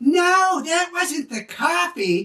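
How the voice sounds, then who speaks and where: In a squeaky put-on character voice, a woman talks at an extremely high pitch with lively intonation. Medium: solo performance. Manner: doting, fussy.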